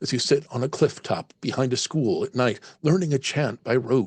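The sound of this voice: An unforced reading voice carries the clip.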